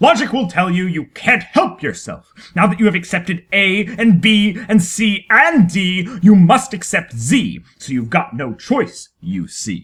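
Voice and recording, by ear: A woman's put-on character voice, fairly low-pitched with a slightly husky edge, big pitch swings, a fairly slow pace and few pauses.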